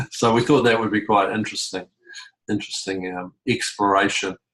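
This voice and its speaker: Speaking with a New Zealand accent, a man keeps a fairly low pitch. His intonation is monotone and flat. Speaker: community facilitator. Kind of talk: online group meeting. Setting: video call. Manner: halting.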